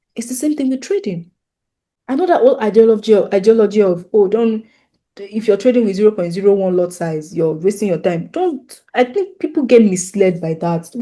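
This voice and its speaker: Someone with a Nigerian accent talks at a very fast pace against a quiet background. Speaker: forex trading teacher. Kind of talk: tutorial. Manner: repetitive, restarting phrases often.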